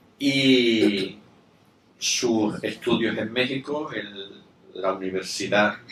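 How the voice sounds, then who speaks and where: Speaking at a very slow pace with long, frequent pauses, a man with a medium pitch and ordinary pitch variation is heard in audible room echo. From Spain. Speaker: event moderator. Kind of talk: formal introduction of a guest. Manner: halting, many fillers.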